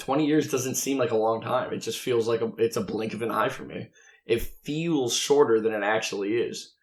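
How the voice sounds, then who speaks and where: A man with a normal speaking voice, medium pitch, moderate pace. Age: 20s. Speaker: podcast co-host. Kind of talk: casual debate.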